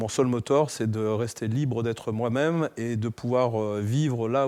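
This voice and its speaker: With a dark, mellow tone, a man speaks at a moderate pace and medium pitch, his intonation fairly even. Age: 60s. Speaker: entrepreneur and fitness figure. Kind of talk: interview. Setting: studio. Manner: hesitant, many fillers.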